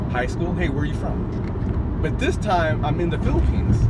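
A man talks at a moderate pace against loud background noise. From US West Coast. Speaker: vlogger. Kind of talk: casual storytelling monologue. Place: car. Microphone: phone near.

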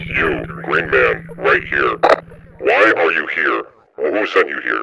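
Using a put-on character voice, a man speaks at a fairly slow pace. Clear background noise is present. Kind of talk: military radio chatter roleplay. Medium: game stream. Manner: commanding, curt, exasperated.

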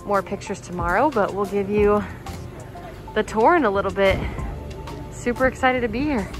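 A woman talks at a fairly quick pace with ordinary pitch variation. Clear music plays behind her, and the sound is dry with no echo. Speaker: travel vlogger. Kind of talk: casual vlog chat. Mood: excited, delighted. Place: waterside. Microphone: phone near.

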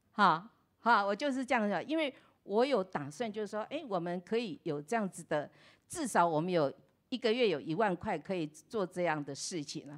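In an animated tone, a woman talks at a fairly quick pace with medium pitch and very wide pitch swings against a quiet background. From Taiwan. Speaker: pastor's wife. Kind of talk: testimony. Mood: warm, cheerful, grateful. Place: church. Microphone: handheld.

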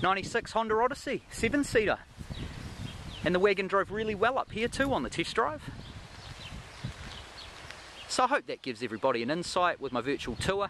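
The pitch swings very widely. Light background noise can be heard. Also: man, fairly quick pace, dry sound with no echo. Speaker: car dealer salesman. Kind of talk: casual sales walkaround commentary. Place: car. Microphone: phone near.

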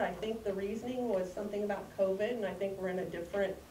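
A woman's voice with audible room echo and light background noise. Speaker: grandparent giving public comment. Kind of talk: public comment. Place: hall. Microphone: camera far.

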